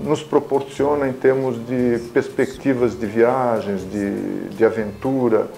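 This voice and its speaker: Noticeable background noise accompanies a man speaking. His pitch is medium and his pace is very slow. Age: 60s. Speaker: motorcycle club founder. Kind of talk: interview testimony. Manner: reflective, with hesitations and repetitions.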